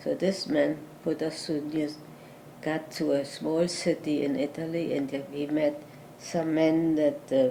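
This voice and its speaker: A woman's very deep, low voice with a German accent, a dark, mellow tone and fairly even intonation. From Germany (Berlin). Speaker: Holocaust survivor. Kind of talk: interview answer.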